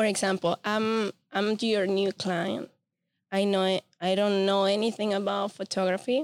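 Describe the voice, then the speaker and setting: A woman with a Spanish accent speaks in a medium pitch with monotone, flat intonation. The sound is dry and close, with no echo. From Venezuela. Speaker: podcast host and photographer. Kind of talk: casual interview chat.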